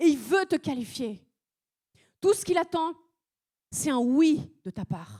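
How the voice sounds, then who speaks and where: Speaking very slowly with a non-native accent, a woman uses a high pitch with very wide pitch swings, in a dry, close sound with no echo. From France (arrived at age seven). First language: not French (speaking French). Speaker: preacher. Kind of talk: sermon. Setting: church service.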